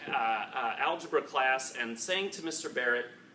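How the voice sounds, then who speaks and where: Against noticeable background noise, a man with an American accent speaks at a moderate pace with lively intonation. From Chicago, US. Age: 30s. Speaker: tech entrepreneur speaker. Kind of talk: panel talk to alumni audience. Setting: event room with audience. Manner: halting, many fillers and repetitions.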